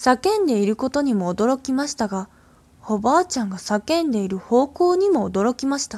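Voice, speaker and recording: A woman speaks at a high pitch with very wide pitch swings and a calm tone, in a dry, close sound with no echo. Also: moderate pace. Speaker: radio host reading ghost stories. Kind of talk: horror story reading aloud. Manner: calm, hushed storyteller pace, building dread; slightly halting, with fillers and small stumbles.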